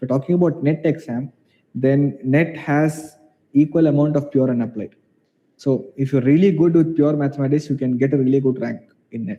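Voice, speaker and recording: The speaker talks at a fairly quick pace with a Keralan accent. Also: man, fairly high pitch for a man. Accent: Indian English, Malayali. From India, Kerala. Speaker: mathematics professor. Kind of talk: online Q&A session. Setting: video call. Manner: halting.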